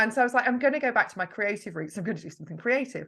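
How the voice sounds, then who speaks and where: This woman has a Yorkshire accent and a bright, sharp tone. Her pitch swings very widely against a quiet background. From Yorkshire, northern England. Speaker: marketing mentor. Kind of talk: podcast interview. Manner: chatty, talkative.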